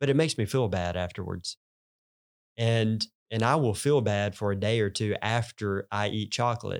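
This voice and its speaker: A man with a Southern US accent, fairly low in pitch with ordinary pitch variation, at a moderate pace, in a very clean, dry, close recording with no echo and a silent background. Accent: Southern US country. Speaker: pastor. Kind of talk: casual chat.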